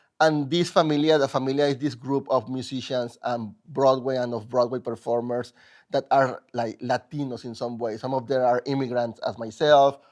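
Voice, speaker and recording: A moderate pace in a Mexican accent. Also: man. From Mexico. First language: Spanish. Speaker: musical theater composer. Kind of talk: interview. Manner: halting.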